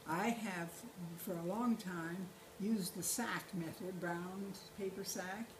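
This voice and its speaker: A woman speaks at a fairly slow pace and medium pitch with fairly even intonation, amid noticeable background noise and audible room echo. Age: 80s+. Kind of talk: casual chat. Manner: halting.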